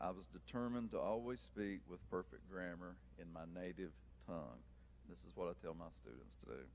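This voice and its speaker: Vocal fry, very wide pitch swings and a fairly quick pace in an Appalachian accent. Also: man, very deep, low pitch for a man. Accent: Appalachian, kept. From eastern Kentucky, Appalachia. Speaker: author and teacher. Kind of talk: prepared talk to audience.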